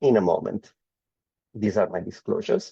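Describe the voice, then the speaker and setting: A man with an Italian accent, a dark, mellow tone and very wide pitch swings. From Italy. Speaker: medical oncologist. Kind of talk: lecture.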